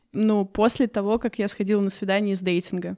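A woman is speaking. Her pace is fairly quick. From Russia. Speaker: online dating expert. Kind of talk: casual interview for language learners. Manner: hesitant, many fillers.

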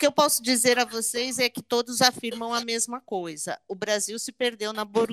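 Over music in the background, a woman with a fairly high pitch is heard in a dry, close sound with no echo. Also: hardly any pauses, big swings in loudness. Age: 50s. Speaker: tax lawyer. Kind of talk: podcast interview.

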